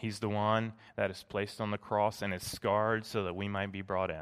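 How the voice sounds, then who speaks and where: A man with a fairly low pitch and monotone, flat intonation at a moderate pace, on a very clean recording with a silent background. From Tennessee. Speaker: pastor. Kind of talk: sermon. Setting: church.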